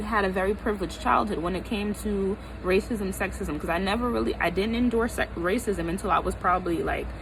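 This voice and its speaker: Over noticeable background noise, a woman with an American accent talks at a fairly quick pace in an animated tone. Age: 20s. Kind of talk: casual talk to camera. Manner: animated, emphatic.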